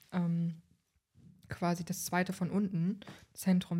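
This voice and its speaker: A somewhat breathy voice in a dark, mellow tone with fairly even intonation. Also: woman. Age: 20s. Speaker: human design expert. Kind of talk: casual chat. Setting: sitting on the floor of a nearly empty flat.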